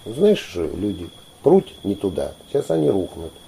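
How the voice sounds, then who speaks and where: Noticeable background noise sits behind speech that proceeds fairly slowly. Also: man. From Volgograd region, Don Cossack area. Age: 50s. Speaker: folk ensemble leader and teacher. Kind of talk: interview.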